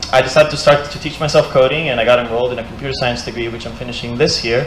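A man speaks with a Brazilian accent and fairly even intonation. Audible room echo and light background noise come through. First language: Portuguese. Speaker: mixed reality content creator. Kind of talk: presentation talk. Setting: stage with audience. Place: meeting room. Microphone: handheld.

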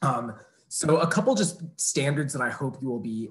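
This man, with an American accent, sounds somewhat breathy and uses lively intonation. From US suburb. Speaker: college teacher. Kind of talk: public comment. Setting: video call. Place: home room. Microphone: video call.

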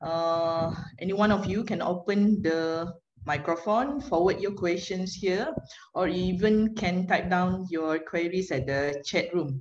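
A woman with a Malaysian accent at a fairly slow pace, light background noise behind her. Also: ordinary pitch variation. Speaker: moderator. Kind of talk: webinar moderation. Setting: video call. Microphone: video call.

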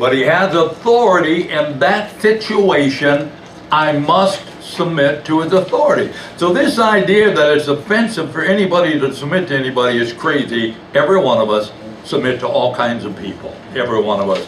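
The voice makes very wide pitch swings. Audible room echo and light background noise are present. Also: man, moderate pace. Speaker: preacher. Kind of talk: sermon. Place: church.

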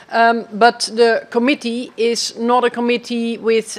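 This woman speaks with a Dutch accent. Her pitch is fairly high. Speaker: former agriculture minister. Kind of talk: keynote speech.

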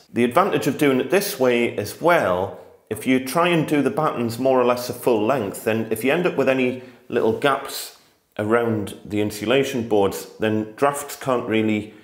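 Audible room echo surrounds this man's voice. He talks at a moderate pace. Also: ordinary pitch variation, quiet background. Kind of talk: tutorial. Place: home room. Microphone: phone near.

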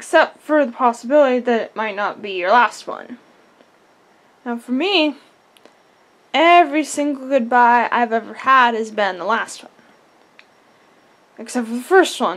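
A woman with a high pitch speaks at a moderate pace, broken by long, frequent pauses. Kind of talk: casual reflective monologue. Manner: slow, subdued talk while lying down. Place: home room. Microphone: phone near.

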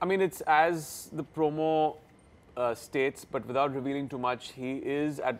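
A man's voice at a moderate pace. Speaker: interviewee. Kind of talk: interview answer. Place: studio.

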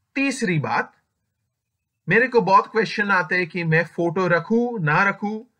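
Over a quiet background, a man with a non-native accent speaks very slowly, his tone bright and sharp and his intonation lively. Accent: speaks weak Hindi, non-native. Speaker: HR advice youtuber. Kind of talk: tutorial. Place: home room. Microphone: webcam.

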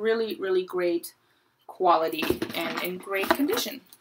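A woman's pitch swings very widely as she speaks fairly slowly, with noticeable background noise present. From Germany. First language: German. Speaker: fashion YouTuber. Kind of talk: casual vlog. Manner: animated. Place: home room. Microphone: phone near.

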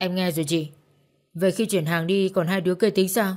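A female-sounding put-on character voice, raspy and hoarse at a middle pitch, moves at a moderate pace in a very clean recording with a silent background. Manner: disguised, feigned.

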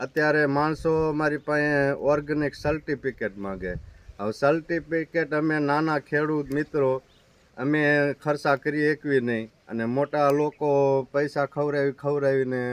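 A man's ordinary speaking voice, fairly high in pitch, with fairly even intonation and a dry, close sound with no echo. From Saurashtra, Gujarat (Surendranagar district). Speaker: farmer. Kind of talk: farm tour video.

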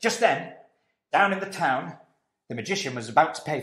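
With lively intonation, an unforced reading voice comes through over a quiet background.

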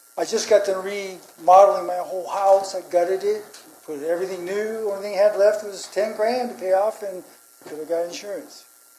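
Amid audible room echo and noticeable background noise, a man with a high voice talks fairly quickly, with fairly even intonation but big swings in loudness. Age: 60s. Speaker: public commenter, auto body worker. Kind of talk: public comment. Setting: town council meeting.

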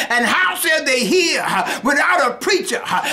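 A man speaks in a raised, projected voice. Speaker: preacher. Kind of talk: fervent radio altar-call sermon, pleading with listeners to get saved now. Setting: radio broadcast. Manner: impassioned, rhythmic whooping cadence punctuated by huh and hallelujah; repetitive, urgent exhortation. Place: studio. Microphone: studio mic.

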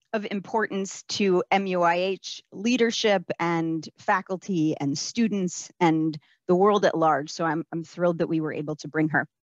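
A woman speaks at a fairly slow pace with a fairly low pitch and ordinary pitch variation. The sound is dry with no echo, and the background is quiet. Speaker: event host introducing keynote. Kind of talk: formal introduction. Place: home room.

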